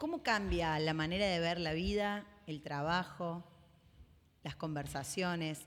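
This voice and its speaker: With ordinary pitch variation, a woman talks in an ordinary speaking voice at a fairly low pitch. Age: 30s. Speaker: podcast host and leadership consultant. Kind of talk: casual chat.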